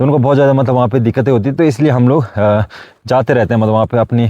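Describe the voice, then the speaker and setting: Against a quiet background, a man's dark, mellow voice sits at a medium pitch with ordinary pitch variation. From Uttarakhand hills, Garhwal-Kumaon border. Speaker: village vlogger. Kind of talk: casual talk to camera.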